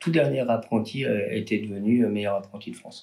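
A man talks in a fairly low pitch. His tone is dark and mellow. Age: 40s. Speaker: artisan chocolatier and roaster. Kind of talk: interview. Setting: in his shop workshop. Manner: hesitant with fillers and repetitions.

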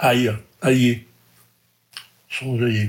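Intonation holds fairly even. There is some breathiness in the voice. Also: man. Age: 80s. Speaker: retired logistics manager. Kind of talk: casual interview.

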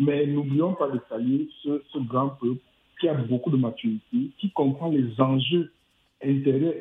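With a normal speaking voice, a man talks at a fairly high pitch and a fairly slow pace. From Cameroon. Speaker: radio caller. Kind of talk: call-in opinion.

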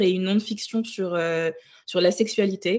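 This is a woman with an ordinary speaking voice. Her pitch is medium and her intonation fairly even. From Burkina Faso, Ouagadougou. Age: 20s. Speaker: book influencer. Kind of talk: casual interview.

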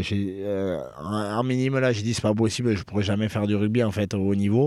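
At a moderate pace, a man with a fairly low pitch speaks with fairly even intonation. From French Basque Country (Bayonne). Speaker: professional rugby player. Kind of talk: interview. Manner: hesitant, many fillers.

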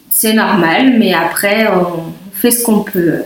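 Through audible room echo and noticeable background noise, a woman talks at a very slow pace with a fairly high pitch and ordinary pitch variation. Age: 30s. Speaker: mother with type 1 diabetes sharing her pregnancy story. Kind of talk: interview testimony. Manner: halting, many fillers.

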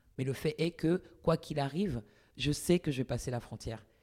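A woman's very deep, low voice at a moderate pace, on a very clean recording with a silent background. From Paris, France. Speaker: academic, author. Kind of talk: interview. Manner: halting.

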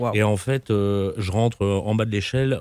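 Recorded very cleanly with a silent background and a dry, close sound free of echo, a man's dark, mellow voice sits fairly low, with fairly even intonation. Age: 50s. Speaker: company founder and CEO. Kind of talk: interview.

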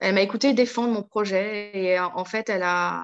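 A woman is heard against a quiet background. The sound is dry and close, with no echo. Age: 40s. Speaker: vocational trainer, former marketing officer. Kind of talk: interview testimony. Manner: hesitant, many fillers and repetitions.

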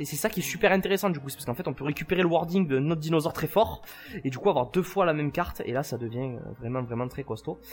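With music in the background, a man with a fairly high pitch speaks at a very fast pace using lively intonation. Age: 20s. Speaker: dinosaur theme park guide. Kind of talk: casual chat. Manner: halting, many repetitions.

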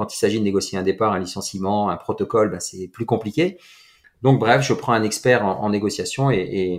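Here a man talks at a moderate pace with a normal speaking voice and medium pitch. His pitch varies in an ordinary way, and the recording is very clean with a silent background. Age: 40s. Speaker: entrepreneur and mindset coach. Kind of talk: casual interview.

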